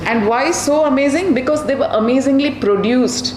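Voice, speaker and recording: A woman with a South Indian accent and ordinary pitch variation, with audible room echo and noticeable background noise. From Karnataka, South India (Bangalore). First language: Kannada. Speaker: children's author. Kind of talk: public talk to audience. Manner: animated.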